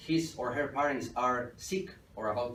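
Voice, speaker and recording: With a Spanish accent and ordinary pitch variation, a man talks amid audible room echo. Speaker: entrepreneur, guest lecturer. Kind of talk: lecture. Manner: halting.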